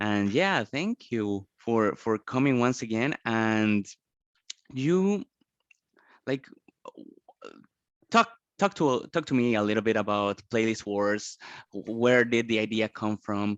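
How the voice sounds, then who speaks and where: A man at medium pitch with ordinary pitch variation, very slow pace and long, frequent pauses, in a dry, close sound with no echo over a quiet background. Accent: Spanish. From Colombia. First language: Spanish. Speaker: podcast host. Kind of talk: interview. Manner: halting, many repetitions.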